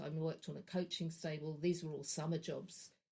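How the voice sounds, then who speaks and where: Somewhat breathy voice with a London accent and fairly even intonation. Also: woman. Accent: southern English (London). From London, England. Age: 60s. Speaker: energy practitioner / horse trainer. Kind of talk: podcast interview. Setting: podcast.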